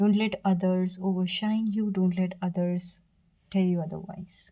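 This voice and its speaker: With a dark, mellow tone and a somewhat breathy sound, a woman speaks at medium pitch and a fairly slow pace in a monotone, flat intonation. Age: 20s. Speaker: tarot reader. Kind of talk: tarot reading to camera. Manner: stuttering at times.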